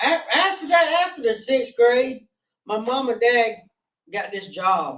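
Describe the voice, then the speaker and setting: A man speaks at a fairly slow pace. He has a strong Southern US accent. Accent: strong rural Southern (country). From North Carolina, Gaston County. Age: 40s. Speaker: guest in recovery sharing addiction story. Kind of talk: interview testimony. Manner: halting, with many fillers.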